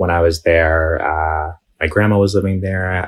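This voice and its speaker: A man talks at a very deep, low pitch with monotone, flat intonation. His voice is somewhat breathy and his pace moderate. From New York City, Bay Ridge, Brooklyn. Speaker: Palestinian American activist guest. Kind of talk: casual interview.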